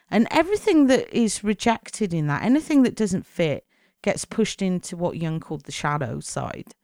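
A woman's medium-pitched voice in a British accent with very wide pitch swings, dry and close with no echo, on a very clean recording with a silent background. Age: 40s. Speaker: podcast host. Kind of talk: monologue podcast.

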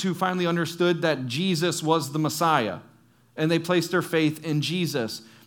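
Over audible room echo, a man talks with a high pitch, a fairly quick pace and fairly even intonation. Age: 30s. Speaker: youth pastor. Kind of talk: sermon.

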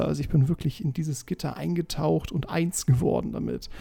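Lively intonation marks this man's fairly high, somewhat breathy voice. His tone is dark and mellow, and his pace is moderate. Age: 20s. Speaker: podcast host. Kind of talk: casual monologue.

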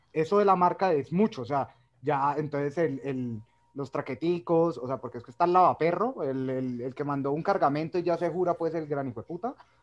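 A man's fairly high voice at a fairly quick pace, with ordinary pitch variation over a quiet background. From Colombia, Cali. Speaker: medical professional and cinema entrepreneur. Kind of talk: casual chat.

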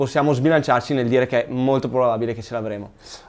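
Medium pitch from a man, with typical pitch movement. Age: 20s. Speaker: sneaker shop host. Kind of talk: live Q&A chat. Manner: animated.

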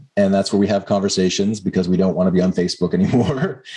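A man's plain, everyday voice with ordinary pitch variation.

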